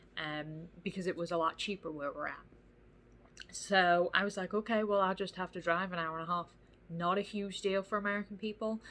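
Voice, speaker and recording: A woman speaks at a medium pitch and a moderate pace. Her tone is bright and sharp, with fairly even intonation. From England. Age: 20s. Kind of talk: casual talk to camera.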